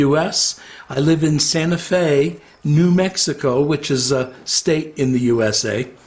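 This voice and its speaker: Over noticeable background noise, a man with an American accent talks at a fairly high pitch with ordinary pitch variation. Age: 60s. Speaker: retired psychotherapist. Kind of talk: interview. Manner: hesitant, many fillers.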